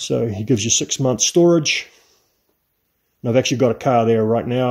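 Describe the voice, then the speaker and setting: A man speaks at a medium pitch in a New Zealand accent. The recording is very clean, with a silent background. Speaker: classic car restorer. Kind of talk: workshop vlog. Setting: home garage. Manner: casual.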